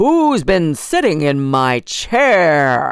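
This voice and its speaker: A put-on character voice at a middle pitch, growling and bellowing, in a very clean recording with a silent background. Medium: read story. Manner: growling, roaring.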